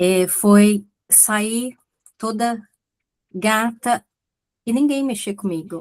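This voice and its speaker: A dry, close sound with no echo, plus ordinary pitch movement. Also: woman. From Brazil. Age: 60s. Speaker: audience participant. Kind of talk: casual chat. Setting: video call.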